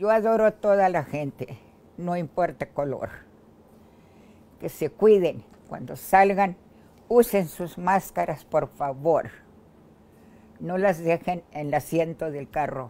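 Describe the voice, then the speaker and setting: A woman speaks at a very slow pace and fairly low pitch, with a dark, mellow tone and lively intonation. Her loudness swings widely, and she leaves long, frequent pauses. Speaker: COVID-19 survivor. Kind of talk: testimony. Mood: grateful, earnest pleading. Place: home room. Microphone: lapel.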